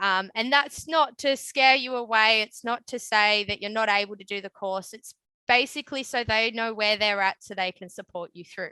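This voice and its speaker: A woman with an Australian accent speaks at a moderate pace with hardly any pauses, her pitch fairly high with ordinary pitch variation. Her tone is bright and sharp, her loudness swings widely, and the sound is dry and close with no echo. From Australia, Newcastle area NSW. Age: 20s. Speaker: electrician. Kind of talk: webinar interview. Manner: casual with many fillers.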